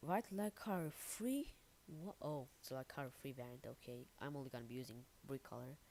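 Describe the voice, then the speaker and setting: A woman with a non-native accent speaks at a moderate pace in a very deep, low voice with a dark, mellow tone and lively intonation. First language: not English. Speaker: game developer streamer. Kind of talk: live coding stream tutorial. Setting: live stream. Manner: casual, hesitant with many fillers.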